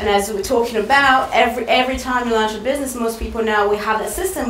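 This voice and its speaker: Amid noticeable background noise and audible room echo, a fairly high-pitched woman speaks very fast in a French accent with ordinary pitch variation. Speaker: marketing speaker. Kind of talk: presentation.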